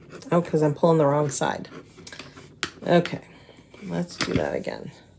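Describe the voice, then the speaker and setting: A woman talks at a moderate pace. Noticeable background noise runs beneath her. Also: long, frequent pauses. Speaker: crafts demonstrator. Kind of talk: live craft tutorial. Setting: live stream. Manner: casual, chatty.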